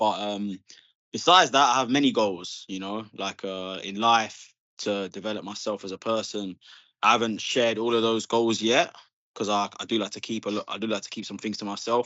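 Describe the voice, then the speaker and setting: A man talks at a fairly quick pace. His pitch is fairly low, and his intonation fairly even. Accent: English. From England. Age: 30s. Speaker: Muay Thai fighter. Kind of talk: casual chat.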